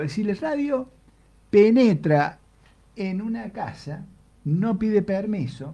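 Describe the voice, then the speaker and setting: Dark and mellow in tone, a man speaks at a high pitch and a very slow pace. His pitch swings very widely. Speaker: radio host. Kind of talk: casual chat.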